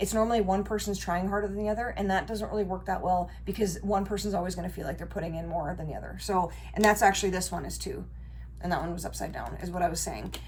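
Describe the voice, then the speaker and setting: A woman talking at a very fast pace, with audible room echo. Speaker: tarot reader. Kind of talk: tarot reading monologue. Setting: home bedroom recording. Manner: casual, conversational.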